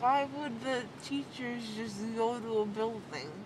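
A woman speaks at a very slow pace with ordinary pitch variation. Noticeable background noise runs underneath. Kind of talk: casual chat. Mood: rambling, slightly hesitant. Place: car. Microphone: phone near.

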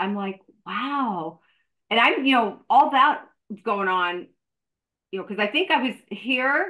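Against a quiet background, a woman talks at a moderate pace with very wide pitch swings and long, frequent pauses. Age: 50s. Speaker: fitness professional and podcast host; podcast host. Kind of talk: casual interview. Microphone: video call.

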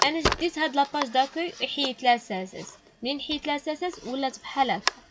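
Talking at a very fast pace, a woman with a high pitch uses ordinary pitch variation and big swings in loudness, with noticeable background noise behind her. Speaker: programming teacher. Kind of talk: tutorial.

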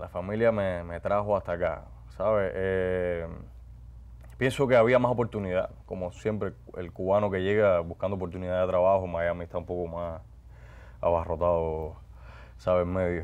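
A man talks at a very deep, low pitch. He leaves long, frequent pauses. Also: ordinary pitch variation, moderate pace. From Cuba, Guantánamo; Cuba. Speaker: actor and announcer; actor, announcer. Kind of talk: interview. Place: studio. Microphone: lapel.

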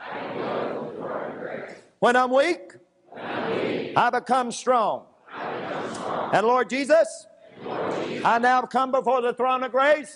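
Amid noticeable background noise, a man with an extremely high pitch speaks very slowly, his loudness swinging widely while his pitch varies in an ordinary way. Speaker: preacher. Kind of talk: fervent prayer and declarations. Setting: church service. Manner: fervent, repetitive, echoing phrases; urgent, commanding. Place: church. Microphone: lapel.

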